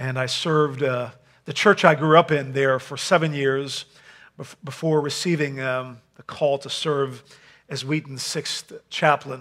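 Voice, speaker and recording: A man's monotone, flat delivery at a fairly slow pace against a quiet background. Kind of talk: sermon. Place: hall.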